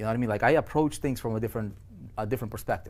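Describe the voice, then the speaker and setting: A man's medium-pitched voice in a non-native accent, animated in tone with ordinary pitch variation. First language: not English. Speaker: online business coach. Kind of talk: webinar presentation. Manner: halting, many repetitions and fillers.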